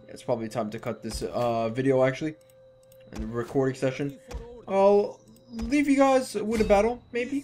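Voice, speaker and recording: Music plays behind speech delivered at a moderate speed. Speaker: gaming commentator. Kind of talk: let's play commentary. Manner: slurred.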